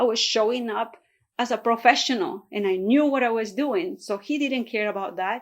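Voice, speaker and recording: On a very clean recording with a silent background, a woman with a fairly high voice and a Spanish accent speaks at a moderate pace with ordinary pitch variation. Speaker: real estate agent. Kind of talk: motivational vlog talk.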